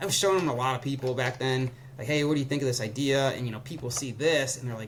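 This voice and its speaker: A man speaks fairly high with fairly even intonation as noticeable background noise carries on behind him. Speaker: ski gear startup co-founder. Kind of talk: casual interview. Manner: fast; casual, filler-heavy.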